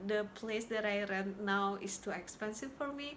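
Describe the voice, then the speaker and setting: A woman with an Indonesian accent talks at a moderate pace in a fairly high, bright, sharp voice. Her pitch varies in an ordinary way, and the room echo is audible. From Indonesia, Jakarta. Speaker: YouTuber sharing healing experiences. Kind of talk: personal vlog talk. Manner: halting, with repetitions.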